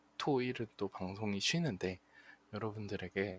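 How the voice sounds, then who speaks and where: Very slowly, a man talks in a fairly low pitch. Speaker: internet radio host. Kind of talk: live radio show sign-off. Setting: live streamed broadcast with chat.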